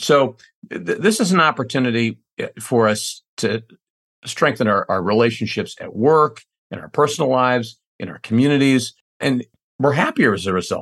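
A plain, everyday voice talks at a moderate pace with lively intonation and big swings in loudness. The sound is dry and close with no echo, against a quiet background. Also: man, medium pitch for a man. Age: 50s. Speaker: CEO of a training company. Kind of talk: interview conversation. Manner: frequent repetitions and false starts.

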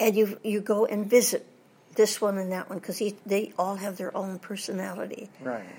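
A woman's medium-pitched voice, dark and mellow in tone with vocal fry, big swings in loudness, and a moderate pace. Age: 80s+. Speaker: voice actress and former Disney reference model. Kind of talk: interview. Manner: animated.

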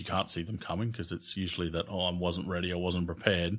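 Recorded very cleanly over a silent background, a man talks with an Australian accent. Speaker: podcast host, occupational therapist. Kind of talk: casual interview.

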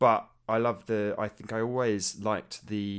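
Recorded very cleanly over a silent background, a man speaks at fairly low pitch with a British accent. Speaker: game music podcaster. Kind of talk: casual chat.

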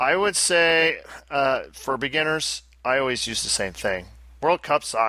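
In a strong upstate New York accent, a man talks at a fairly slow pace with a bright, sharp tone. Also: lively intonation. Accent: Albany upstate New York, thick. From Albany, upstate New York. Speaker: podcast host. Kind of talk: casual banter, podcast chat.

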